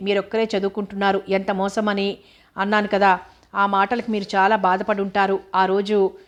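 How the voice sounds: What comes through is a natural reading voice.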